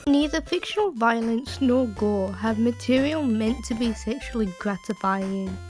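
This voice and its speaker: A woman at a fairly slow pace with hardly any pauses and very even loudness, music playing in the background. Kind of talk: reaction commentary voiceover. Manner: sarcastic, irritated.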